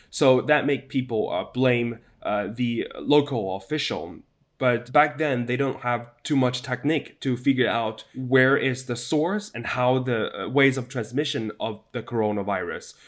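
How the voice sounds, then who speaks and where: A man with a Chinese accent, at a fairly slow pace and with ordinary pitch variation. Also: medium pitch for a man. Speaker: news correspondent. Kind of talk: interview. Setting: video call. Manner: hesitant, many fillers.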